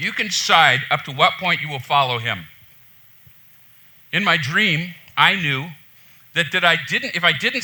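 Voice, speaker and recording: A man's loud, passionate, fairly high voice, bright and sharp in tone, at a fairly slow pace with ordinary pitch variation and long, frequent pauses, in a room with audible echo. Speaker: pastor. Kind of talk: sermon. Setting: church.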